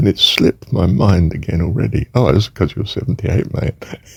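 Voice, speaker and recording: A man speaks at a fairly low pitch and a moderate pace. The sound is dry and close with no echo, though noticeable background noise is heard. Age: 70s. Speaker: retired teacher reflecting on faith. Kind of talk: personal monologue. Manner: halting, with many fillers.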